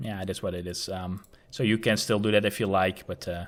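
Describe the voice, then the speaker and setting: Recorded very cleanly against a silent background, a man with a Dutch accent talks at a fairly quick pace. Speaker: gaming tutorial youtuber. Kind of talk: tutorial. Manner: casual with frequent fillers.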